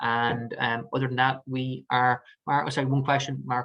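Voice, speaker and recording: A man with an Irish accent speaks at a medium pitch with a bright, sharp tone and fairly even intonation. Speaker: mortgage advisor. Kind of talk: webinar presentation with Q&A. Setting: online webinar. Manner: fast.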